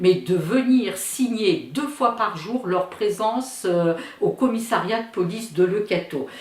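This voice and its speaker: A woman talks in a fairly high pitch at a fairly slow pace. Audible room echo and noticeable background noise accompany her. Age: 70s. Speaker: daughter of Ukrainian immigrants, witness. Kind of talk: testimony. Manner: hesitant, with fillers.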